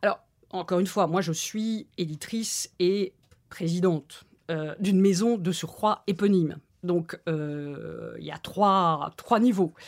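The very slow speech has ordinary pitch variation on a very clean recording with a silent background. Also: woman, medium pitch for a woman. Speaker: book publisher. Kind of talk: interview. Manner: hesitant, many fillers.

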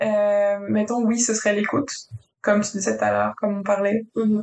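This is a woman's voice. It is pitched in the medium range. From France. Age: 20s. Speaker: project manager in construction. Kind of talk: casual interview chat.

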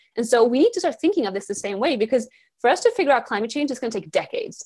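A woman at a very fast pace in a very clean recording with a silent background. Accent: Swedish. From Sweden. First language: Swedish. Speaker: environmental activist and speaker. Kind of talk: podcast interview.

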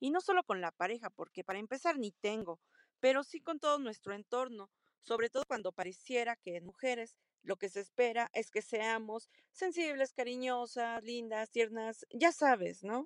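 Here is a woman with an ordinary speaking voice at a fairly high pitch. The sound is dry and close with no echo. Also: lively intonation, moderate pace. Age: 30s. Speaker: listener sending a voice question. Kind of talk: recorded voice message.

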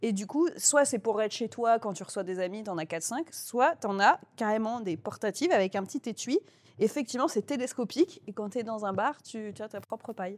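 In a very clean recording with a silent background, a woman with an unremarkable speaking voice and a fairly high pitch talks at a moderate pace with lively intonation. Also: dry, close sound with no echo. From Toulouse, southern France. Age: 30s. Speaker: comedian and novelist. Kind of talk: casual chat.

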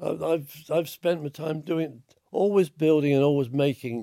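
A man speaks at a fairly slow pace with a fairly high pitch and ordinary pitch variation. His voice is hoarse, with vocal fry and a dark, mellow tone.

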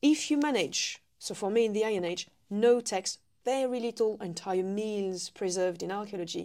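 In a French accent, a woman speaks at a moderate pace with a fairly high pitch and ordinary pitch variation. Her tone is dark and mellow, and the recording is very clean with a silent background. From eastern France. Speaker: food historian and living history demonstrator. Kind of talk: casual chat. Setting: on location at a heritage centre.

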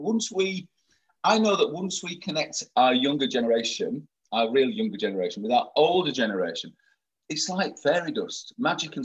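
A man with vocal fry talks at a moderate pace, his fairly high voice moving through very wide pitch swings. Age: 50s. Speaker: LGBT event organiser. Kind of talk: interview.

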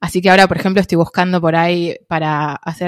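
In a dry, close sound with no echo, a woman speaks at a fairly low pitch in monotone, flat intonation. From Argentina. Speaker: traveller and content creator. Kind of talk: casual interview.

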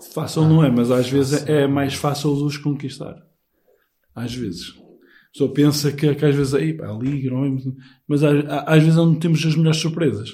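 At a fairly quick pace but with long, frequent pauses, a man with a fairly high pitch speaks in a dark, mellow, somewhat breathy tone with fairly even intonation. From northern Portugal, Penafiel. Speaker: pilgrimage participant. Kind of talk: casual chat.

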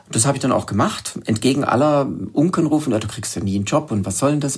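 A very fast-talking man with lively intonation amid noticeable background noise. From southern Germany, Lake Constance. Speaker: wild plant expert and author. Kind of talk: interview.

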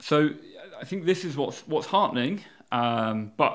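Here a man talks in a Yorkshire accent at a fairly quick pace. The recording is very clean, with a silent background. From Yorkshire, England. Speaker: campaign group founder. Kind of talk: podcast interview. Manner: hesitant, with fillers and repetitions.

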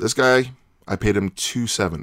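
This man has an American accent and a medium pitch with vocal fry. He speaks at a fairly slow pace. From Chicagoland, Northwest Indiana. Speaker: podcast guest, sci-fi fan. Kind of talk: casual chat.

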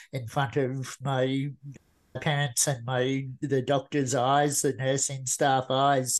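A man with an Australian accent talks very slowly in a monotone, flat delivery at medium pitch. The background is quiet. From Australia, rural Queensland. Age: 40s. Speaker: motivational speaker. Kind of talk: interview.

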